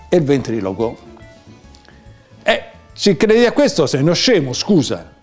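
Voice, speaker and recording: A high-pitched man at a moderate pace, with very wide pitch swings, very even loudness, long, frequent pauses and faint music in the background. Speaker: poet. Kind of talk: casual talk to camera. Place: home room.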